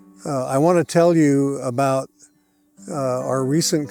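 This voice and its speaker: A man is speaking in a mid-range pitch. Behind him, music is playing. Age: 80s+. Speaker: homeowner, construction client. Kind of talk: customer testimonial.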